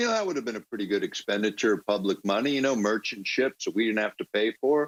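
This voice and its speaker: Medium in pitch, a man speaks at a very fast pace. His pitch variation is ordinary. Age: 60s. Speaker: political commentator. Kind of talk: political talk. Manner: halting, many fillers.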